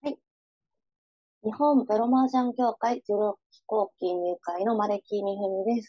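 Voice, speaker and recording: A woman with a plain, everyday voice speaks at a fairly high pitch and a moderate pace. Her pitch varies in an ordinary way, while her loudness swings widely. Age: 20s. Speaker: mahjong professional. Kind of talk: interview.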